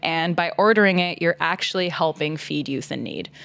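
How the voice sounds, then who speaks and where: This is a plain, everyday voice with a Canadian accent, moving at a moderate pace. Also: woman. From Toronto suburbs, Canada. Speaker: nonprofit community leader. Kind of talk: casual chat.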